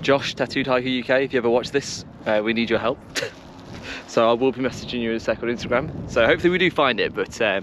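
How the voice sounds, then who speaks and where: A man speaks at a very fast pace over light background noise, the sound dry with no echo. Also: ordinary pitch variation. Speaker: hiking vlogger. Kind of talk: casual vlog chat. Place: open country. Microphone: phone near.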